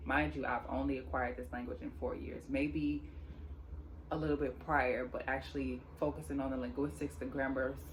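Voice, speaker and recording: Moderate pace against noticeable background noise. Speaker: sign language teacher on video channel. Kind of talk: tutorial channel introduction.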